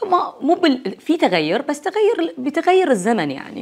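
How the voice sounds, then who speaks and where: The speaker talks at a moderate pace with a Bahraini accent. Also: woman. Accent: Bahraini Gulf Arabic. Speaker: university lecturer and academic; university lecturer. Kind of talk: casual interview. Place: home room. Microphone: lapel.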